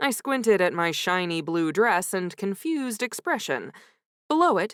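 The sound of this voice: Over a quiet background, the intonation stays lively in an unforced reading voice.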